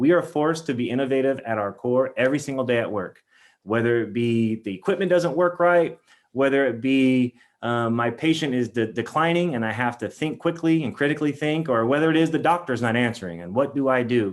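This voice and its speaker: A man with a medium pitch talks at a fairly quick pace, showing ordinary pitch variation. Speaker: nurse leader, keynote speaker. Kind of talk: keynote talk. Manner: fast.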